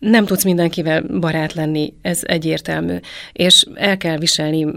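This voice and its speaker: At a moderate pace and with fairly even intonation, this is a plain, everyday voice. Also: woman. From Transylvania, Romania. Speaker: travel group participant. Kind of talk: casual chat.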